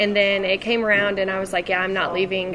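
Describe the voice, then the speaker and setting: With an American accent, a woman talks while noticeable noise fills the background. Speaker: Navy veteran and university student. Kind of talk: casual interview. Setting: over lunch.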